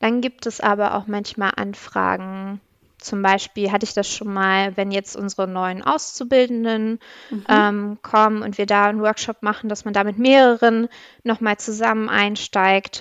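A woman's medium-pitched voice in monotone, flat intonation. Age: 30s. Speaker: public administration agile coach. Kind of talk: interview. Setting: video call.

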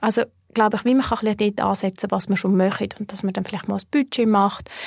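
A somewhat breathy woman's voice at a medium pitch, fairly quick in pace, with a dry, close sound and no echo. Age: 30s. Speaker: personal finance educator. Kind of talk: interview conversation.

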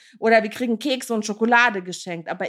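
This woman's voice sits fairly high, with ordinary pitch variation and an animated tone. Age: 30s. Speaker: podcast host, care worker. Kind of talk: podcast monologue.

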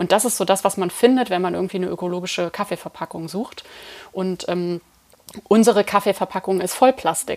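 This woman has a normal speaking voice at medium pitch. She talks at a fairly quick pace with fairly even intonation. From Germany, Eifel region. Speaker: coffee roaster and company co-founder. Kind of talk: interview. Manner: many filler sounds.

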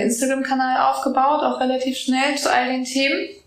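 A woman's fairly quick speech, with audible room echo and noticeable background noise. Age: 20s. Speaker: business coach and podcast host. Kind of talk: interview. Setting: voice memo recording. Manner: hesitant with many fillers.

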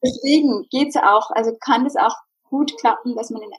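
A woman's voice, dry and close with no echo. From Bavaria, Germany. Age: 30s. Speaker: psychologist and life coach. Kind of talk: casual interview.

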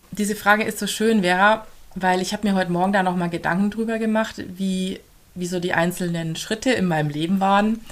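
A woman speaks at a fairly quick pace with a slight Swabian accent and fairly even intonation. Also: medium pitch for a woman. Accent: slight Swabian undertone. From Augsburg, Bavarian Swabia, Germany. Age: 30s. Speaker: family coach and mother. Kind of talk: podcast interview.

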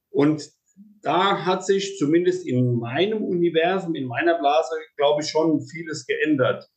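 The speaker is a man with a fairly high pitch. He talks at a fairly slow pace with ordinary pitch variation. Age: 40s. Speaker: podcast host, horse mediator. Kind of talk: interview. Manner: halting, many repetitions and fillers.

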